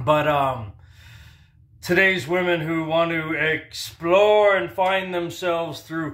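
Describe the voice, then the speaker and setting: A fairly high-pitched male voice with audible room echo and noticeable background noise around it. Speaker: commentary vlogger. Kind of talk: casual monologue rant. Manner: hyper; slurred speech.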